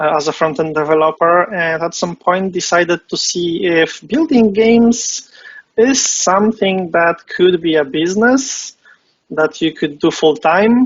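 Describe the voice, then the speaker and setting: Speaking at a fairly slow pace, a man with a Polish accent uses a high pitch. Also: ordinary pitch variation. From Poland. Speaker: game competition founder, web developer. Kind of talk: interview. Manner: hesitant, many fillers.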